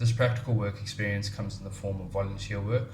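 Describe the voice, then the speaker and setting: Over music in the background and audible room echo, a man talks at a fairly quick pace. His pitch is fairly low and his intonation monotone and flat. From South Africa. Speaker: English teacher. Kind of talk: self-introduction video. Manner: formal.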